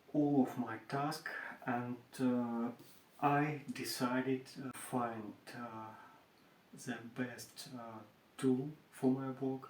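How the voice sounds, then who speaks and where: Speaking with a Russian accent, a man holds a medium pitch. His pace is very slow and his intonation fairly even. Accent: Russian accent, non-native English. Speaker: furniture maker. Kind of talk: tutorial. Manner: halting, many hesitations.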